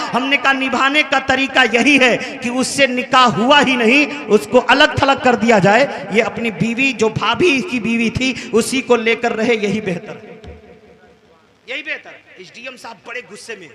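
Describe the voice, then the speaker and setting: A man with an extremely high pitch projects a raised voice at a fairly slow pace, with big swings in loudness and ordinary pitch variation. Noticeable background noise sits behind him. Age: 40s. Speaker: Islamic preacher. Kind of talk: sermon.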